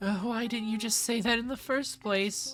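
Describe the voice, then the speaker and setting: Music plays in the background behind a shaky, put-on character voice with a fairly high pitch. The pace is moderate. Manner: sniveling.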